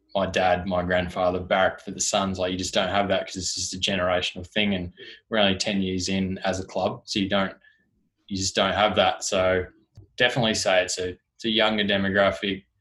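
In an Australian accent, a man talks at a fairly quick pace with a very deep, low pitch and monotone, flat intonation on a very clean recording with a silent background. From Tasmania, Australia. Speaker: sports club digital communications officer. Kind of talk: casual interview.

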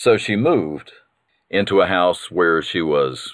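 With a Southern US accent, a man speaks in a warm tone against a quiet background. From North Carolina. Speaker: podcast host. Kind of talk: scripted-sounding storytelling, reminiscing about great-grandmother. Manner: warm, nostalgic.

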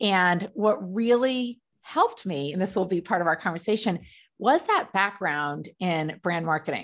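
A woman with an American accent speaks at a moderate pace in a medium pitch, her intonation lively against a quiet background. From US Northeast, Rhode Island. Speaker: business coach. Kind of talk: interview.

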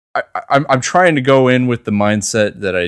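A man's unremarkable speaking voice at a moderate pace with ordinary pitch variation. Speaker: podcast co-host. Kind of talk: casual banter podcast.

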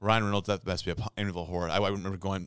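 Very fast speech in a Midwestern US accent, in a very clean recording with a silent background. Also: man. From St. Louis, Missouri. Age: 30s. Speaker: podcast co-host. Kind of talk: casual chat.

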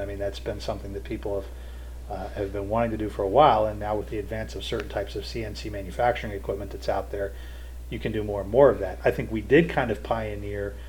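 Speaking with an American accent, the man's voice picks up audible echo from the room. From Ohio/Kentucky, Cincinnati area. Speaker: roller coaster engineer. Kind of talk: interview.

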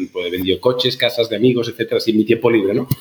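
A man's somewhat breathy voice at a very fast pace. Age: 40s. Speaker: startup founder and CEO. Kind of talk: interview conversation.

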